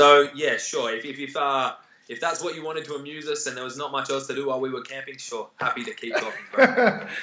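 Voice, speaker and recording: Talking at a very fast pace, a man with an Australian accent shows big swings in loudness. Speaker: competitive athlete. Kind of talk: interview answers.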